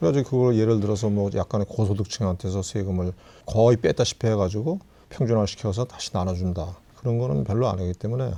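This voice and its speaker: Against a quiet background, a man speaks very fast in a fairly low pitch with a dark, mellow tone. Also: ordinary pitch variation. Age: 70s. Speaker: retiree. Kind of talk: casual chat.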